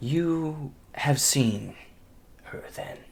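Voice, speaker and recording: This man puts on a character voice pitched fairly high. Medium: actual play. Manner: cold, menacing.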